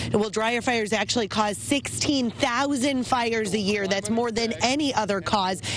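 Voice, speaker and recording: A woman speaks at a moderate pace with a fairly high pitch, ordinary pitch variation, very even loudness and hardly any pauses, over noticeable background noise. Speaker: television news reporter. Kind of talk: TV news reporter delivery.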